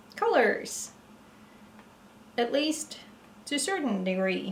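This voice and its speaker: In a Norwegian accent, a woman with a fairly high voice speaks at a fairly slow pace amid noticeable background noise and audible room echo. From Norway. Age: 30s. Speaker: vlogger. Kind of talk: casual chat. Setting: at home, evening, ceiling light. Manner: halting.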